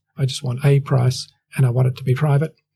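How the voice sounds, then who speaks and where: The voice is somewhat breathy, with a dark, mellow tone and monotone, flat intonation. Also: man. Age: 60s. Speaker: real estate agency owner. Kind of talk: interview.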